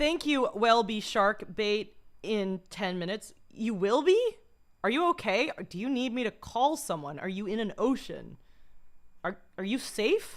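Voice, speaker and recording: A woman speaks at a fairly high pitch with lively intonation. Her pace is fairly slow. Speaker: live streamer. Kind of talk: casual chat. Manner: halting.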